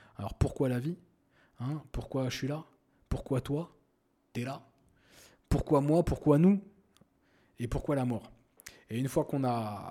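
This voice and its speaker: A man's medium-pitched, dark and mellow voice with ordinary pitch variation, on a very clean recording with a silent background. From France, Paris suburbs (Seine-Saint-Denis). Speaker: podcast host. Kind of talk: casual monologue.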